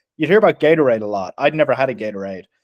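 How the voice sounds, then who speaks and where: With an American accent and lively intonation, a man talks at medium pitch in a dry, close sound with no echo. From Ireland. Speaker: podcast host. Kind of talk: casual chat. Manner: animated.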